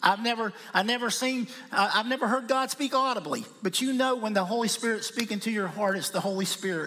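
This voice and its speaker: A man with an American accent, high pitch and ordinary pitch variation, in a raised, projected voice at a fairly quick pace with hardly any pauses, plus noticeable background noise. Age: 50s. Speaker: missionary. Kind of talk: sermon. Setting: church.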